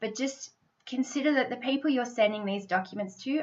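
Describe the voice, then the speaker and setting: An enthusiastic tone comes through at a fairly quick pace with ordinary pitch variation. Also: woman. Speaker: sponsorship consultant. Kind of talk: tutorial.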